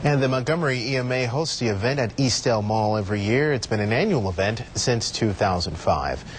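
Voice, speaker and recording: Noticeable background noise sits behind a man with a medium pitch and very even loudness. He talks at a fairly quick pace with lively intonation and hardly any pauses. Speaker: television news anchor and reporter. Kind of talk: television newscast anchor delivery.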